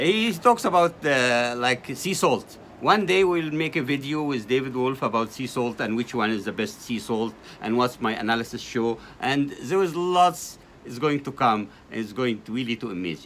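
A man speaks at a moderate pace with lively intonation. There is light background noise. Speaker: guest. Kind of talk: interview answer. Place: cafe. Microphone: phone near.

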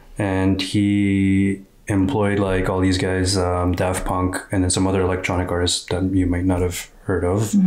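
A man speaks at a fairly slow pace. His very deep, low voice stays flat and monotone. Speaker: reaction video host. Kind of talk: casual explanatory chat. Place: home room. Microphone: studio mic.

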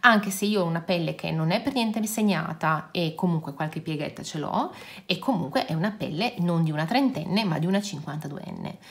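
Her voice is somewhat breathy and fairly low for a woman. She speaks fairly quickly with lively intonation. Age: 50s. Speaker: beauty and nail youtuber; nail youtuber. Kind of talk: casual product review vlog.

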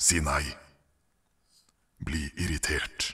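A man puts on a character voice that is raspy and very deep and low. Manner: commanding, cold, manipulative.

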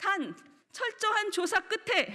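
A woman's raised, projected voice has a bright, sharp tone over a quiet background. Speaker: political commentator. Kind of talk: panel discussion. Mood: angry, accusatory. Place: hall. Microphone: podium.

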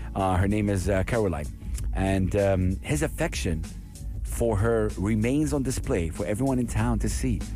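A man's very deep, low voice with very wide pitch swings at a moderate pace, dry with no echo, over clear music in the background. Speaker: radio presenter. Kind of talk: radio show talk. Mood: warm, moved. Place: studio. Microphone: studio mic.

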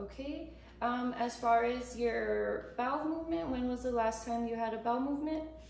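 A woman speaks in a high pitch with a calm tone. Audible room echo surrounds her voice. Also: ordinary pitch variation, moderate pace. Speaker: nurse or clinician performing a physical assessment. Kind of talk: clinical assessment narration, unscripted. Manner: calm, procedural, with filler words. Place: home room.

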